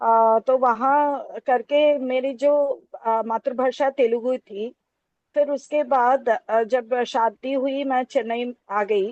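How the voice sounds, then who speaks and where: A woman with a Telangana accent speaks in a high pitch, recorded with a dry, close sound and no echo. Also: fairly even intonation. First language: Telugu (speaking Hindi). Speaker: Hindi lecturer. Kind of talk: academic talk. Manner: halting, many fillers.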